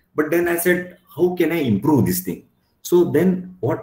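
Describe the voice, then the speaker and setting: Lively intonation carries a Marathi accent at a moderate pace. The voice is somewhat breathy. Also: man. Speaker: company director. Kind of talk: expert talk to students. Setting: video call.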